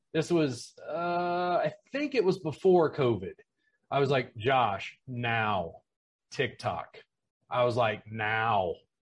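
A man's somewhat breathy voice with very wide pitch swings, at a very slow pace, over a quiet background. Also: medium pitch for a man. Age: 40s. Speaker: massage educator and business consultant. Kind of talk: casual chat.

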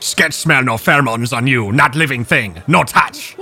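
A man's put-on character voice at medium pitch. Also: moderate pace. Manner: broken speech, third person about self, paranoid.

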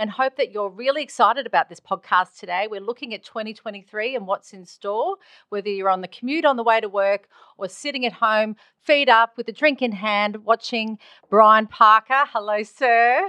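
A woman's fairly high-pitched voice with big swings in loudness, in a dry, close sound with no echo. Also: ordinary pitch variation, moderate pace. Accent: Australian. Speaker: podcast host. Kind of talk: casual interview chat.

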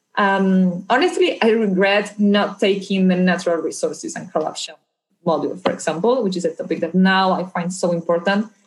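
A woman speaks at a fairly quick pace with a Spanish accent. Her voice is somewhat breathy. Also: medium pitch for a woman, ordinary pitch variation. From Argentina. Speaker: anti-corruption policy specialist. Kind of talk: interview.

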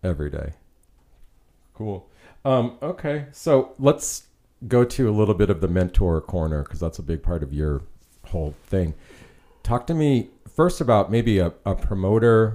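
A man with an American accent and a dark, mellow tone lets his pitch swing very widely. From New York. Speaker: podcast host and photographer. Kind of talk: casual interview; scripted intro.

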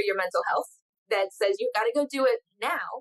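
An animated woman at a high pitch, with very wide pitch swings and a dry, close sound with no echo. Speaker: podcast host and spiritual coach. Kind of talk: casual interview.

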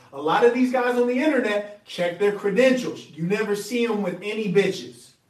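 A man speaks with an American accent. His pitch is high and his pace moderate. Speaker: relationship coach and podcaster. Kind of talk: monologue advice talk.

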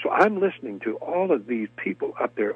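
With music in the background, a man with an American accent talks at a fairly quick pace. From US South (Alabama). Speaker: actor. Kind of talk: interview.

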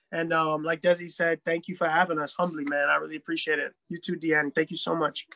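Delivered in a New York accent at a fairly quick pace, the voice has a bright, sharp tone with a dry, close sound and no echo. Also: man. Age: 30s. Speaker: DJ and musician. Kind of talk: casual chat.

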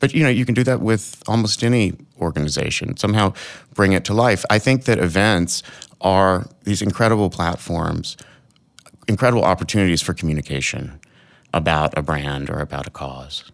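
An American man speaks fairly quickly in an ordinary speaking voice, pitched fairly low. His intonation is lively. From US South, Arkansas. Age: 40s. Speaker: event planner. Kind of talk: casual chat.

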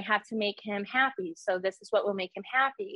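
Using an ordinary speaking voice, a woman with an American accent talks at a medium pitch and fairly quick pace. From New York. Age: 20s. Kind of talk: testimony.

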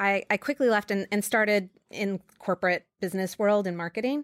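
A woman with an American accent, medium in pitch, at a moderate pace. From New York. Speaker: marketing executive. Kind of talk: interview. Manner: hesitant with many fillers.

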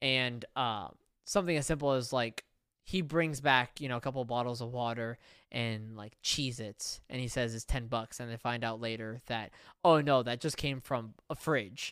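An unremarkable speaking voice moves at a moderate pace with ordinary pitch variation. The recording is very clean and the background silent. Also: man, medium pitch for a man. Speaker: podcast host. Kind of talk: casual banter, movie review podcast. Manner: interrupts often, joking.

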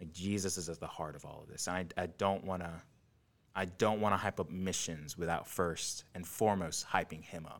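In a very clean recording with a silent background, a man speaks at a moderate pace with a very deep, low pitch, fairly even intonation and big swings in loudness. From third world country. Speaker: nursing student and ministry leader. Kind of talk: casual interview.

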